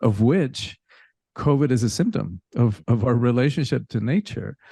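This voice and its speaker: Against a quiet background, a man speaks at a moderate pace and medium pitch, with very even loudness and a dry, close sound with no echo. His tone is dark and mellow, with vocal fry and lively intonation. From Cuba, then rural Georgia and Miami, US. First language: Spanish. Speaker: spiritual teacher and coach. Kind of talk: interview conversation.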